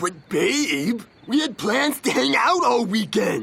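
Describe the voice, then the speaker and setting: Doing a cartoonish character voice, a man speaks high and at a fairly slow pace, with very wide pitch swings but very even loudness. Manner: loud, brash.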